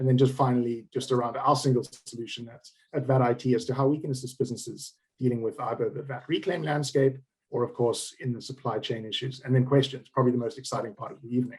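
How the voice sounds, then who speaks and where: Speaking very fast in a South African accent, a man at medium pitch keeps a flat, monotone intonation and sounds somewhat breathy. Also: big swings in loudness. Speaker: managing director of a tax reclaim firm. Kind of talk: business presentation.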